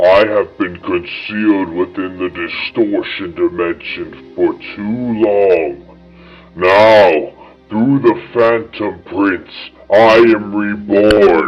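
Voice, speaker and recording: A man's put-on character voice, fairly low in pitch and very slow in pace, over faint music in the background. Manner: sinister.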